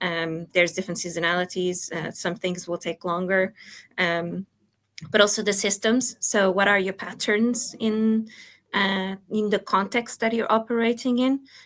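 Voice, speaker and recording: A woman speaks with a Portuguese accent. Her pace is moderate, with ordinary pitch variation. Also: medium pitch for a woman. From Portugal. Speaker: product coach. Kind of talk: talk presentation. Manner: hesitant, many fillers.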